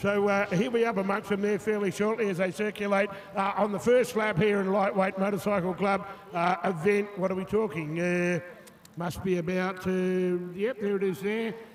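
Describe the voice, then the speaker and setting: A high-pitched man with an Australian accent, at a moderate pace with fairly even intonation, over noticeable background noise. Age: 60s. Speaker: motocross commentator. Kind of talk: live commentary. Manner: halting.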